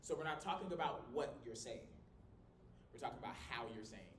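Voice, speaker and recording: Audible room echo hangs on the voice. The man delivers his words at a very fast pace. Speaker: college communication instructor. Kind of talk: lecture. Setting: small classroom, no microphone. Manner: loud, projecting; animated.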